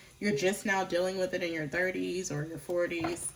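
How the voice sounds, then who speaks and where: Noticeable background noise is present. Through it, a woman talks at a moderate pace. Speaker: tarot reader. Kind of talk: tarot reading.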